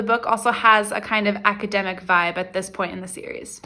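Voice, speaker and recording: A woman speaks at a moderate pace in a fairly high pitch. Noticeable background noise runs behind her. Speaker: book vlogger. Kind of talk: casual vlog chat. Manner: animated.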